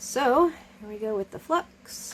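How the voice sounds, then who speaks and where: A soft-spoken woman talks at a fairly slow pace. Her pitch variation is ordinary. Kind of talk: tutorial. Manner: halting.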